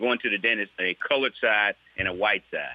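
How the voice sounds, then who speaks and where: At a very fast pace, a man with a Mississippi accent speaks with ordinary pitch variation. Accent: Southern US (Mississippi). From US South, Mississippi. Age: 60s. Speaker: state legislator. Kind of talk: interview. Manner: halting, with many repeated words.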